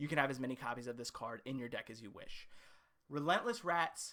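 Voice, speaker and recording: Speaking at a fairly quick pace, a man has a fairly high pitch and an unremarkable speaking voice. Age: 20s. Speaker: content creator auditioning for a game show. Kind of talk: audition pitch video.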